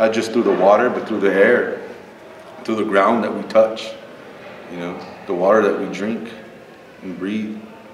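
A man's fairly low, monotone, flat voice with big swings in loudness and long, frequent pauses, in audible room echo with light background noise. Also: moderate pace. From Texas. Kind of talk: panel discussion. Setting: stage with audience. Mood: earnest, reflective. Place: meeting room.

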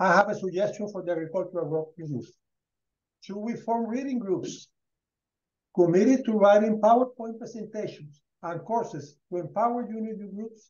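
Speaking with a Spanish accent, a man uses a high pitch and big swings in loudness. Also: ordinary pitch variation, moderate pace. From Colombia. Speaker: rural education program founder; guest. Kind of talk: presentation. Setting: video call. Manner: halting. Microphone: headset.

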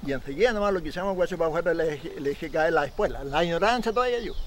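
A man's high-pitched voice at a very fast pace, with a Chilean accent, over light background noise. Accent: rural Chilean Spanish. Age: 70s. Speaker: Chilean horse trainer and rodeo rider. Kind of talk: documentary interview, storytelling. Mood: animated, gesturing storyteller. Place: open country.

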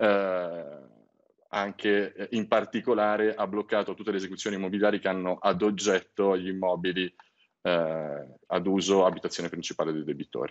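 Here a man talks with a very deep, low pitch. His pace is moderate. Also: fairly even intonation. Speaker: credit company executive. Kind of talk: TV interview. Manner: formal. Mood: calm explanatory. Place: home room. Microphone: video call.

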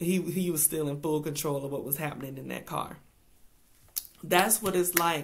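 A woman is speaking. Her pitch variation is ordinary. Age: 40s. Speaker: speaker. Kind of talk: inspirational devotional talk. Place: home room. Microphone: webcam.

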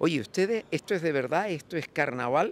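Against light background noise, a man speaks at a moderate pace with a dry sound and no echo. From Canary Islands. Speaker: carnival association president. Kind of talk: TV interview; interview answer. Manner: halting. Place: street. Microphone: handheld.

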